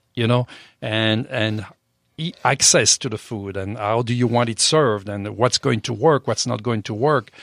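Here a man talks at medium pitch and a moderate pace. The sound is dry and close, with no echo. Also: ordinary pitch variation, very clean recording, silent background. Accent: French. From France. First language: French. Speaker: chef and restaurant owner. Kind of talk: interview. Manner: hesitant, many fillers.

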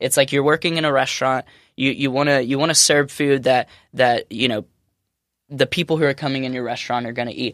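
At a very fast pace and fairly high pitch, a man talks in a very clean recording with a silent background and a dry, close sound with no echo. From Alabama. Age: 20s. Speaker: chef. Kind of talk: casual chat. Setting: studio. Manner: energetic.

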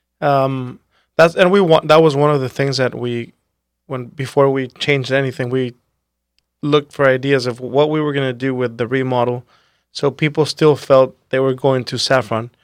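A man in a plain, everyday voice, medium in pitch, at a moderate pace with fairly even intonation. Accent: American. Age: 30s. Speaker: restaurateur. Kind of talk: casual interview chat.

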